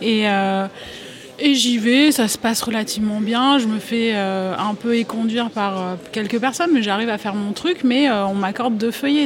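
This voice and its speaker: The speech moves at a moderate pace. Noticeable background noise runs beneath it. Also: woman. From France, small town in the region around Lyon. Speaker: journalist. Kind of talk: panel discussion. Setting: live recording at a journalism festival. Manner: halting, many hesitations.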